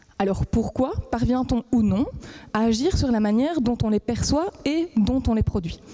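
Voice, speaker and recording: Noticeable background noise accompanies a voice with lively intonation. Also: woman. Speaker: PhD student. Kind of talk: competition talk.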